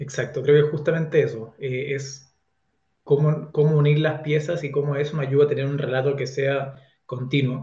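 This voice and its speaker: A man with a fairly high pitch and a dark, mellow, somewhat breathy tone speaks in a monotone, flat way at a moderate pace, with audible room echo. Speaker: author. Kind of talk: interview.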